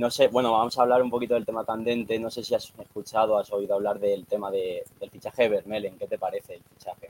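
Delivery comes at a very fast pace with hardly any pauses and monotone, flat intonation. The sound is dry and close, with no echo. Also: man, medium pitch for a man. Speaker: TikTok creator. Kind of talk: casual chat.

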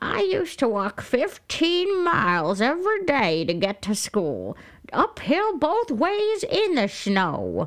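The speaker puts on a high-pitched character voice with very wide pitch swings. The pace is fairly slow. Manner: complaining, gravelly.

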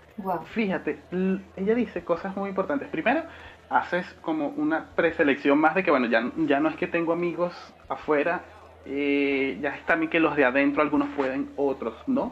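A man with a plain, everyday voice, fairly high pitch, lively intonation and a moderate pace. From Venezuela. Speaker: podcast co-host. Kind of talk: casual chat.

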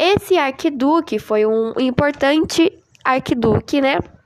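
Lively intonation carries words delivered at a very slow pace. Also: woman. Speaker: amateur podcaster. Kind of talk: informal history talk. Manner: casual, hesitant.

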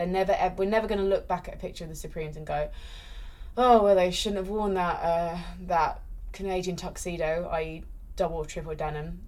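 A woman's medium-pitched voice at a fairly quick pace, with fairly even intonation and audible room echo. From UK, born in London. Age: 30s. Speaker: esports presenter. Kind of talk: casual chat. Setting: in-person recording in London.

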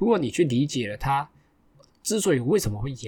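Somewhat breathy, a man speaks at a moderate pace, his pitch swinging very widely. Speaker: podcast host. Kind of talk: casual solo chat.

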